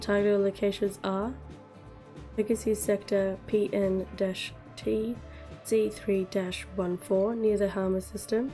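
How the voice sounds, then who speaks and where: With music in the background, a woman speaks at medium pitch in a flat monotone, fairly slowly, with long, frequent pauses. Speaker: gaming content creator. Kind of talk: gaming news roundup.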